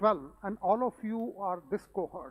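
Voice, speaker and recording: The speaker is a man with a high pitch and ordinary pitch variation. The sound is dry and close, with no echo. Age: 60s. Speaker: invited speaker. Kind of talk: keynote speech.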